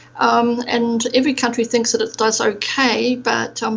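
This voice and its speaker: In a New Zealand accent, a woman with a fairly high pitch talks at a moderate pace with monotone, flat intonation. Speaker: procurement expert. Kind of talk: podcast interview. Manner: hesitant, many fillers.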